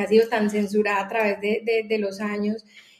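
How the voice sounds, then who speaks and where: A woman's fairly high-pitched voice in a monotone, flat intonation at a moderate pace, with noticeable background noise. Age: 30s. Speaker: entrepreneur. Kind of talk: casual chat.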